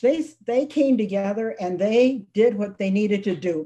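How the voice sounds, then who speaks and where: A woman speaks fairly slowly with a fairly high pitch and ordinary pitch variation. Her tone is dark and mellow, and somewhat breathy. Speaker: children's book author. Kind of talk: author presentation.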